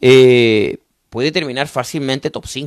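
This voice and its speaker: A man speaks at a fairly slow pace in an animated tone, with a dry, close sound and no echo. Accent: Chilean. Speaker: motorsport commentator. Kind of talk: live stream chat. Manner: repetitive, stammering.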